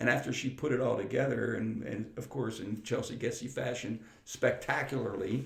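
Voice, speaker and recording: A man with an American accent talks at a moderate pace, his medium-pitched voice showing vocal fry. His intonation is fairly even, and room echo is audible. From western Pennsylvania, Freeport. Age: 60s. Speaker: retired air force chief master sergeant and teacher. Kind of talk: interview conversation. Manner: halting, many repeated words.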